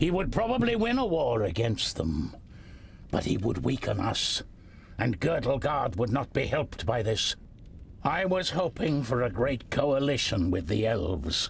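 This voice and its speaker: A man's put-on character voice at a medium pitch and moderate pace, over clear background noise. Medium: video game. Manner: measured, dignified.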